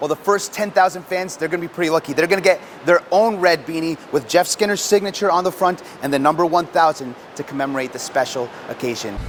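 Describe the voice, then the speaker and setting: Amid noticeable background noise, a man with a high pitch talks at a very fast pace with ordinary pitch variation. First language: English and Spanish, bilingual. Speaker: sports anchor and reporter. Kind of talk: television sports news anchoring and reporting.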